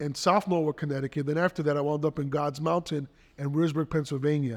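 Here is a man with a New York accent and a fairly high pitch. His intonation is fairly even, and the background is quiet. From New York City, Spanish Harlem and the Bronx. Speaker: pastor. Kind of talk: interview testimony.

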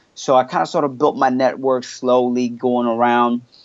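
A man with a medium-pitched voice talks at a moderate pace. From Canada, Montreal. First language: French. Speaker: hip hop artist. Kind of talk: casual interview.

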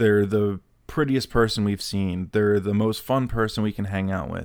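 A man speaks at a moderate pace with fairly even intonation and a fairly low pitch. It is an ordinary speaking voice on a very clean recording, silent background. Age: 30s. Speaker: self-help podcast host. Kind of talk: solo podcast monologue. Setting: home recording in apartment.

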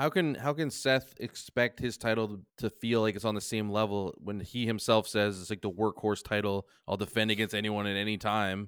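This man has a normal speaking voice and a fairly low pitch. He talks at a moderate pace with fairly even intonation. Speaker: podcast co-host. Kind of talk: casual chat. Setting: remote recording from home.

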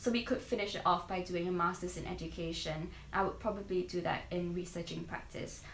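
Audible room echo surrounds a woman's voice. Her pitch is fairly low and her intonation fairly even. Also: fairly quick pace. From Singapore. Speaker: trainee primary school teacher. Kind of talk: casual interview.

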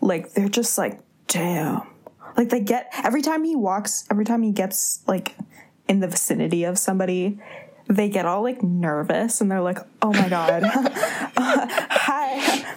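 Over noticeable background noise, a woman at a medium pitch speaks at a fairly slow pace with lively intonation. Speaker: podcast host. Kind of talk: casual chat.

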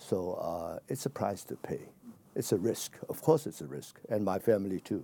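A man's dark, mellow, fairly low voice with a Chinese accent, lively intonation and a moderate pace. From China. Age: 70s. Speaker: exiled democracy activist and businessman. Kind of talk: interview.

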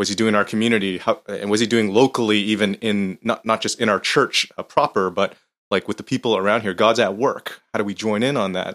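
Fairly quick pace and fairly even intonation from a plain, everyday voice. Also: man, fairly low pitch for a man, hardly any pauses. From Canada, of Hong Kong descent. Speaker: pastor. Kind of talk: casual chat.

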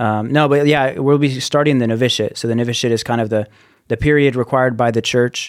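A man with an American accent, very fast pace and fairly even intonation. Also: medium pitch for a man. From Colorado, US (Denver suburbs). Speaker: seminarian in religious formation. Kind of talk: casual interview chat.

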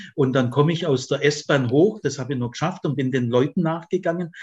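Against a quiet background, a man talks at a fairly quick pace in a somewhat breathy, fairly high voice. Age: 70s. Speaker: retired theology professor. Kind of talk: interview conversation. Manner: animated, laughs often.

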